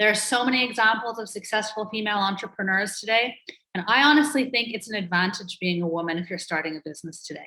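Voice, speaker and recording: A woman's fairly high voice at a very fast pace. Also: ordinary pitch variation. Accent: American. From Ireland and Canada, mixed. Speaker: entrepreneur and author. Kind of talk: interview conversation.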